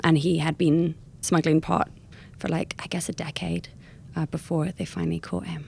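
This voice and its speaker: A woman's very deep, low voice, flat and monotone, with vocal fry. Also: moderate pace. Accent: American. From California; lived in Bath, West Country England, then London. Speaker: memoir author and travel writer. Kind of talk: casual interview chat.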